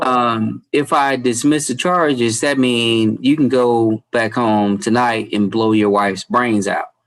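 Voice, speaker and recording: A man with an unremarkable speaking voice talks at a fairly slow pace and a medium pitch. His loudness is very even, and his pitch variation is ordinary. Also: hardly any pauses. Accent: American. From US South. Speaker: judge. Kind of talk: court hearing.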